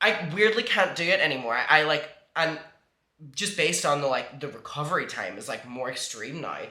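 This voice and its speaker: Audible room echo surrounds a man with a Northern Irish accent. He speaks at a fairly high pitch and a fairly quick pace. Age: 20s. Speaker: vlogger. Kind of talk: casual chat.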